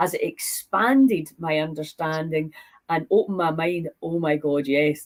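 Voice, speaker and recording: A woman with a Scottish accent speaks at a moderate pace in a fairly low pitch with ordinary pitch variation. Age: 60s. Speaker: podcast host. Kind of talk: casual interview chat.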